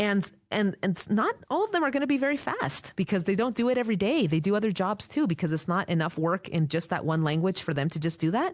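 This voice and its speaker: A woman with a medium pitch rattles along at a very fast pace with hardly any pauses, very even loudness and very wide pitch swings. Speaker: court interpreter. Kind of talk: interview conversation.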